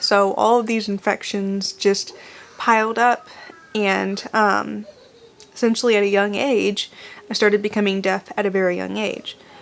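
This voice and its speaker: A woman talks at a moderate pace in a monotone, flat intonation. Noticeable background noise runs behind her. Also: medium pitch for a woman. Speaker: vlogger talking about being deaf. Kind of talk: casual talk to camera. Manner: many fillers and restarts.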